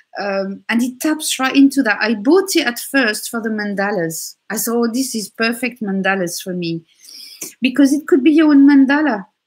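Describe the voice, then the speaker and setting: A woman speaks with a French accent at a moderate pace, her pitch fairly high and her intonation lively. The background is quiet. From France. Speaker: tarot reader. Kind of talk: tarot reading chat.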